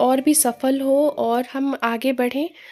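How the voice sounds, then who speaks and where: With music in the background, a woman talks in a high pitch and monotone, flat intonation. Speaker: vlogger. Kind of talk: vlog voice-over.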